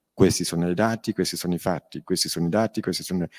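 Over a quiet background, a man with a very deep, low pitch speaks at a very fast pace with ordinary pitch variation. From Milan, northern Italy. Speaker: crime victim and author. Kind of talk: panel talk at a public event. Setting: stage with audience. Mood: earnest, firm, indignant at times. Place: hall. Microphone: handheld.

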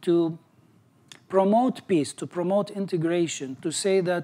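A man speaks with an Arabic accent at a high pitch. His pitch variation is ordinary. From Syria. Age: 40s. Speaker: graduate and entrepreneur. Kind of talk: personal success story talk. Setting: stage with audience. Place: home room. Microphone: lapel.

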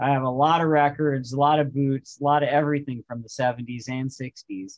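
A man talks at a moderate pace. Behind him, the background stays quiet. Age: 40s. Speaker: musician; guest. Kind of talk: casual chat. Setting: video call. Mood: enthusiastic fan talk. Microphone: video call.

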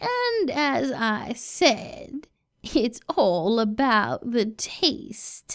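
Speaking at a very slow pace, a woman keeps her pitch high. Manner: sweet grandmotherly turning menacing.

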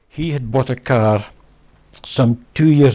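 With a Scottish accent, a man speaks at a moderate pace in a dark, mellow tone with ordinary pitch variation. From Scotland. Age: old. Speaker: wrongly convicted garage manager; interviewee. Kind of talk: interview testimony. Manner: halting. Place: home room. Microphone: lapel.

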